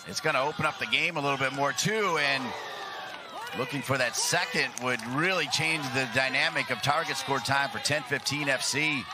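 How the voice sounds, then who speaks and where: Amid noticeable background noise, a man speaks in an animated, excited tone at a moderate pace, using a fairly high pitch with ordinary pitch variation. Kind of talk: live sports commentary. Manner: animated play-by-play, excited, punchy calls on shots and goals.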